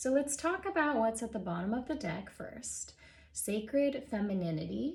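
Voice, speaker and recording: A soft-spoken voice with very wide swings in pitch. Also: woman, fairly high pitch for a woman, moderate pace. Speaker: Reiki practitioner. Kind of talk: oracle card reading talk.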